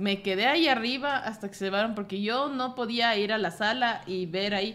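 A woman with an unremarkable speaking voice talks at a moderate pace in a fairly high pitch, with ordinary pitch variation. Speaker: bookstore co-host. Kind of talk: casual chat. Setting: bookstore studio.

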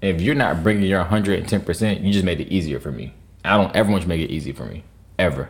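Speaking very fast, a man with a very deep, low voice uses lively intonation and vocal fry. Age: 20s. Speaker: podcast host. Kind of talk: casual chat.

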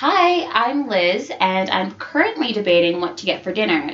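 Noticeable background noise runs behind the speech. The pace is moderate, and the pitch swings very widely. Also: woman. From US. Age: 20s. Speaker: law student. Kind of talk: casual chat.

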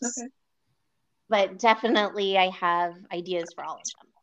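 With an American accent, a woman uses an ordinary speaking voice at medium pitch, with ordinary pitch variation and a moderate pace, over a quiet background. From California, San Jose area. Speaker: romance author. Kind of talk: interview.

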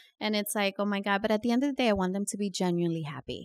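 A woman with a Californian accent and ordinary pitch variation, in a dry, close sound with no echo. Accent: Californian-sounding American English. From New York. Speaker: real estate broker. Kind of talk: interview.

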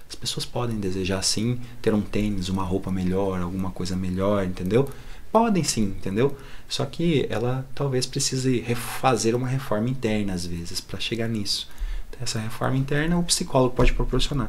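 A man speaks at a moderate pace with ordinary pitch variation. Room echo is audible around him. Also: medium pitch for a man. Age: 30s. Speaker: psychologist. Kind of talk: casual chat.

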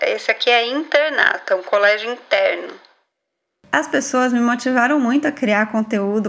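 A woman's high-pitched voice with ordinary pitch variation at a moderate pace. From Brazil, São Paulo state interior. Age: 30s. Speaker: podcast host, educator. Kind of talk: casual monologue. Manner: animated.

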